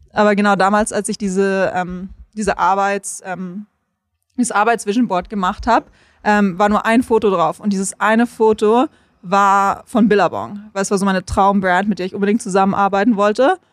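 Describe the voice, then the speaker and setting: In a very clean recording with a silent background, a woman has an ordinary speaking voice at a medium pitch. She talks at a moderate pace with fairly even intonation, and the sound is dry and close with no echo. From Munich, Germany. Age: 20s. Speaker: content creator and surfer. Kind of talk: casual interview. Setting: on location by the coast highway.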